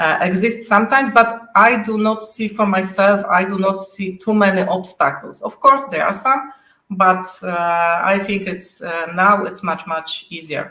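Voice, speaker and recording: A woman with a Polish accent speaks at a fairly slow pace with hardly any pauses and ordinary pitch variation. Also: medium pitch for a woman. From Poland. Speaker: software test manager. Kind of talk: interview. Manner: halting.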